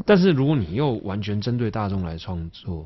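Somewhat breathy and fairly low in pitch, a man with a Taiwanese accent speaks with very wide pitch swings. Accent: Taiwanese Mandarin. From Taipei, Taiwan (Neihu). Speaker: singer-songwriter. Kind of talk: interview.

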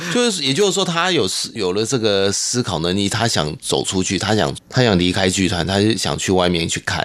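Speaking at a moderate pace with a Hakka accent, a man with a fairly low pitch is heard over noticeable background noise. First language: Hakka (speaking Chinese). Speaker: glove puppetry troupe director. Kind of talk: interview.

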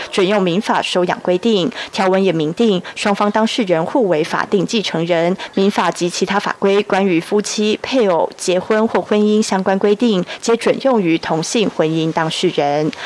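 The speech has hardly any pauses. Noticeable background noise runs underneath. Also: woman, very even loudness. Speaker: news reporter. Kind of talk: news report.

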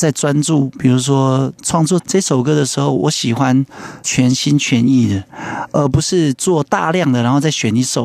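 A man's medium-pitched voice at a moderate pace, very even in loudness, with ordinary pitch variation, dry and close with no echo, and noticeable background noise. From Yilan, Taiwan. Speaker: singer-songwriter. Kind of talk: radio interview.

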